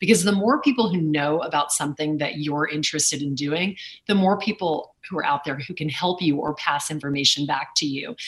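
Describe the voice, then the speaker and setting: A woman with a very deep, low voice speaks with hardly any pauses. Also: ordinary pitch variation. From Louisiana, Lake Charles. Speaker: auctioneer and business executive. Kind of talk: interview conversation.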